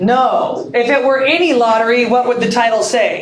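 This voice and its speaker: High-pitched woman's voice at a moderate pace, with audible room echo and noticeable background noise. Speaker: English literature teacher. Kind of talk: classroom lecture.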